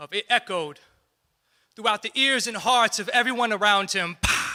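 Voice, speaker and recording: A man with a high pitch uses a raised, projected voice and a bright, sharp tone, showing ordinary pitch variation at a moderate pace in a very clean recording with a silent background. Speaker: spoken word poet. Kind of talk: live spoken word poetry performance.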